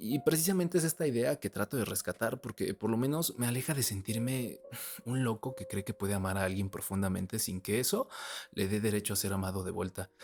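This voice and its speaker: Heard dry and close with no echo, a man with a normal speaking voice and medium pitch talks at a fairly quick pace with lively intonation. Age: 20s. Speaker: vlogger. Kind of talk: personal monologue.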